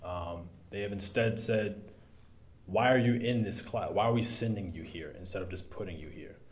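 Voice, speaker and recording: Speaking with an American accent at a moderate pace, a man has a fairly low, somewhat breathy voice with ordinary pitch variation. His loudness swings a lot. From US South, South Carolina. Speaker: school board candidate, military veteran; candidate. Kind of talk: candidate forum answers. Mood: earnest, reflective. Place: meeting room.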